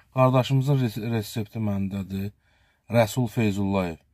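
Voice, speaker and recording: A man's fairly low, dark, mellow voice at a moderate pace, with fairly even intonation, a dry sound with no echo and a quiet background. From Azerbaijan. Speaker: local video blogger. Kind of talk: charity appeal to viewers. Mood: earnest, pleading. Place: car. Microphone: phone near.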